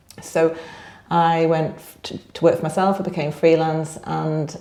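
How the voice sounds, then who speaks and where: A woman with a very deep, low voice and a dark, mellow tone speaks in a flat monotone amid audible room echo. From northern England, Blackpool. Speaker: business network director. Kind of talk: podcast interview.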